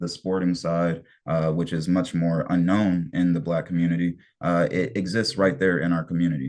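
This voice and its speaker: With a Detroit accent, a man speaks at a fairly quick pace in a very deep, low pitch and fairly even intonation against a quiet background. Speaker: soccer community organizer presenting history. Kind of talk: online history presentation.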